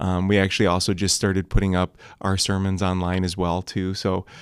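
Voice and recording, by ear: A man's low voice at a moderate pace, monotone and flat in intonation, with a clear, smooth tone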